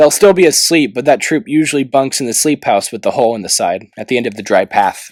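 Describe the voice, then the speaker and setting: A man does a gruff, put-on character voice at medium pitch, very fast and with hardly any pauses, with lively intonation. The recording is very clean, dry and close, with no echo and a silent background. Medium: read story. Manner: blunt, gruff.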